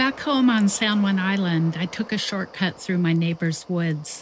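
A woman with an ordinary speaking voice, fairly low in pitch, at a fairly slow pace with fairly even intonation. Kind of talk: memoir reading narration.

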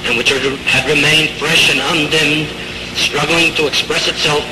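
A solemn tone comes through over noticeable background noise. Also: man. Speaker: acting teacher. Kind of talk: funeral eulogy. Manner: solemn, grieving.

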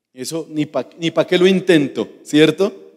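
Against a quiet background, a man speaks fairly slowly at a fairly high pitch. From Colombia. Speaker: pastor. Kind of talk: sermon. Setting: church. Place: church. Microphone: handheld.

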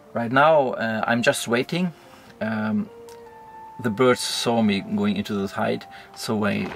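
Man at a fairly slow pace with music in the background. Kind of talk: casual vlog chat. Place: tent. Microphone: phone near.

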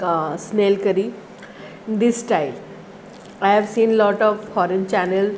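Over light background noise, a woman talks with very even loudness and fairly even intonation. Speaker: food vlogger. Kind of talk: casual vlog chat. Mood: cheerful, relaxed. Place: home room. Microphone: lapel.

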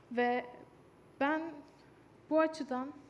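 A woman speaks with monotone, flat intonation. There is light background noise. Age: young. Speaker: speaker. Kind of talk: stage talk. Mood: earnest, calm. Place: stage.

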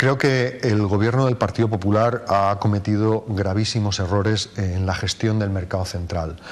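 At a moderate pace and with hardly any pauses, a man speaks at a fairly low pitch with fairly even intonation. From Valencia region, Spain. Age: 50s. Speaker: mayoral candidate, politician; candidate. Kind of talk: TV interview; interview answer. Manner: halting, with frequent repetitions. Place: studio. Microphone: lapel.

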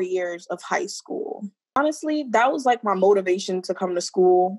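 A woman's voice with music in the background. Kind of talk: interview answer. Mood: warm, reflective. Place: home room. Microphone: phone near.

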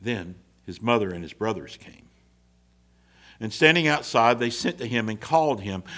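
A man's bright, sharp voice at a moderate pace against a quiet background. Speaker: minister. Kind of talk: scripture reading in a sermon. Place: church. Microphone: podium.

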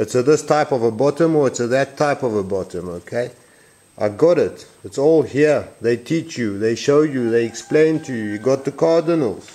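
The man has a dark, mellow tone. His pitch varies in an ordinary way. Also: moderate pace. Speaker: sailing instructor. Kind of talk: casual explanatory tutorial. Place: workshop. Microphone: phone near.

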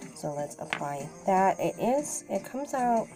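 A woman speaks very slowly. Clear music plays behind her. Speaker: beauty vlogger. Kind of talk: makeup tutorial. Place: home room. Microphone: phone near.

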